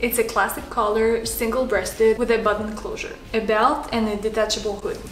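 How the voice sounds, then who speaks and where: A woman's fairly high voice in a French Canadian accent, with noticeable background noise. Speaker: home sewist, sewing vlogger. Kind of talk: casual talk to camera, sewing pattern review.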